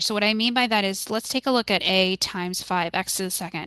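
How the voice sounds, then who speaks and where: Her medium-pitched voice has a bright, sharp tone, moving at a moderate pace with ordinary pitch variation in a dry, close sound with no echo and a quiet background. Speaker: math tutor. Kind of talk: tutorial.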